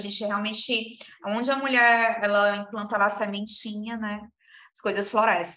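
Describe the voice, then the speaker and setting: A woman speaks at a medium pitch with a bright, sharp tone. Her voice carries audible room echo. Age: 30s. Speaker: entrepreneur, eyewear shop co-owner. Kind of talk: interview.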